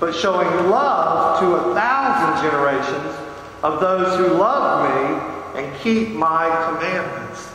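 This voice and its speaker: Very slow speech with very wide pitch swings, strong room echo and light background noise. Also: man. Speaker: pastor. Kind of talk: sermon. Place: church.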